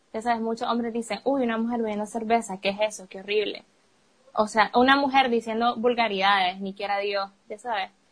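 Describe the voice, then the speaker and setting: Somewhat breathy and fairly quick, a woman speaks with fairly even intonation but big swings in loudness. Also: fairly high pitch for a woman. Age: 20s. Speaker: university student. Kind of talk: personal testimony in casual chat.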